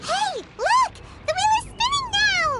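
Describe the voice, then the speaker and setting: A squeaky put-on character voice with an extremely high pitch moves at a fairly slow pace over light background noise. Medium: video game.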